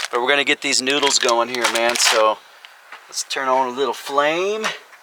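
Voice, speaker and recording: Noticeable background noise accompanies speech that proceeds at a moderate pace. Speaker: overlanding vlogger. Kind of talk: casual outdoor vlog. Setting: outdoors at campsite. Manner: loud.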